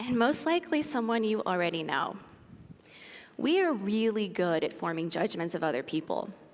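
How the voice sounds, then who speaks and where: In a room with audible echo, a woman speaks at a moderate pace with very wide pitch swings and very even loudness. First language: Spanish. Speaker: university lecturer. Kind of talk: public talk. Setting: stage with audience.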